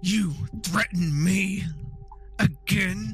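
Over clear music in the background, someone performs a put-on character voice at a middle pitch. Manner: menacing, blunt.

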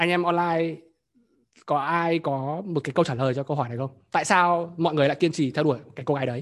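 With long, frequent pauses, a man talks in a fairly high voice with ordinary pitch variation. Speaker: workshop host. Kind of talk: live group workshop, talk. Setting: online event with participants. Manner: fluent, conversational.

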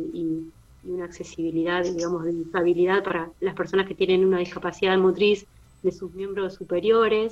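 Against noticeable background noise, a woman speaks fairly quickly at a medium pitch with monotone, flat intonation. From Argentina, Buenos Aires province. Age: 40s. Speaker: visually impaired artistic roller skater. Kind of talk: interview.

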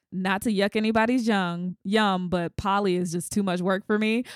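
With an American accent and an ordinary speaking voice, a woman talks at a moderate pace and medium pitch, with fairly even intonation and very even loudness, recorded dry and close with no echo on a very clean recording with a silent background. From US South. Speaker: podcast host. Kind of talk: interview.

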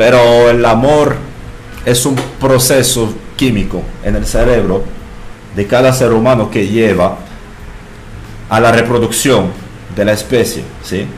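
Amid noticeable background noise and audible room echo, a man with a French accent speaks fairly slowly, with long, frequent pauses. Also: medium pitch for a man, fairly even intonation. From France. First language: French (speaking Spanish). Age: 30s. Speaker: bartender. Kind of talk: casual chat.

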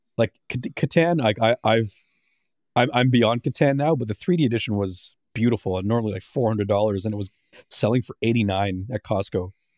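A plain, everyday voice moves at a fairly quick pace with ordinary pitch variation over a very clean recording with a silent background. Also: man, medium pitch for a man, dry, close sound with no echo. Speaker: podcast co-host. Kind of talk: casual chat.

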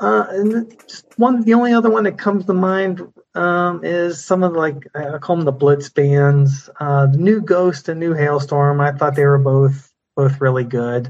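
A plain, everyday voice with lively intonation at a fairly slow pace. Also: man, fairly high pitch for a man. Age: 50s. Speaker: metal fan, former music writer. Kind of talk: casual chat.

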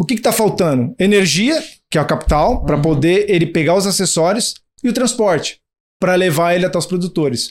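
The voice moves at a fairly quick pace with lively intonation and very even loudness. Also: man, high pitch for a man. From Brazil, São Paulo. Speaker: startup co-founder. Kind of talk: interview.

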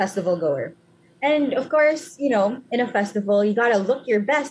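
It's a woman with a fairly high pitch. Her intonation is lively. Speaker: student podcast co-host. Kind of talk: casual chat.

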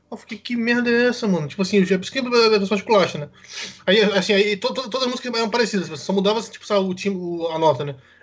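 A high-pitched man at a very fast pace, with noticeable background noise. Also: ordinary pitch variation, big swings in loudness. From Brasília, Brazil. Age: 20s. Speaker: Twitch streamer. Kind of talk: casual chat.

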